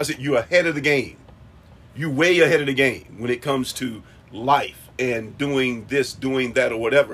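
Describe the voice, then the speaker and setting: Intonation holds fairly even throughout. The speech moves at a moderate pace. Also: man, medium pitch for a man. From Charlotte, North Carolina. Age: 50s. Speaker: host's father. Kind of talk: casual chat. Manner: halting, many fillers.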